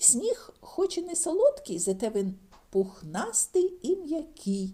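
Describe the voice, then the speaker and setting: A woman uses a put-on character voice at an extremely high pitch. Her pitch swings very widely as she goes at a fairly slow pace. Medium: read story.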